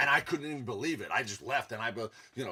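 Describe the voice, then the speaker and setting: A man talks with a strong New York accent. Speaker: self-help vlogger. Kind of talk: casual monologue.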